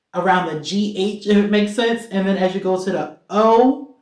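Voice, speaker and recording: Audible room echo surrounds a woman talking in an animated tone. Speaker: singer-songwriter. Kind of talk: casual vlog Q&A.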